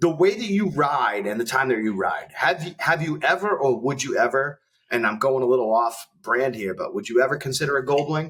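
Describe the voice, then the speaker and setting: Lively in intonation, a man with a plain, everyday voice and fairly high pitch talks at a fairly quick pace with hardly any pauses. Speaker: podcast host. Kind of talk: casual podcast conversation.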